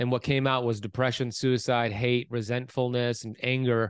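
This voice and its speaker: A man with a plain, everyday voice and an American accent, medium pitch, moderate pace, dry, close sound with no echo and a quiet background. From US, Miami Florida. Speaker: author and health coach. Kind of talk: interview.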